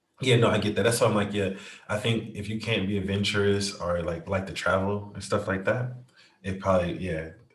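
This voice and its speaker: Fairly quick, fairly even speech with audible room echo. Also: man, fairly low pitch for a man. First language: not English. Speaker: podcast co-host. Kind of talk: casual chat.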